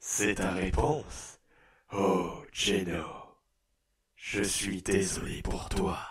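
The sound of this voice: A man puts on a raspy character voice at a fairly low pitch, with audible echo. He goes at a very slow pace with long, frequent pauses.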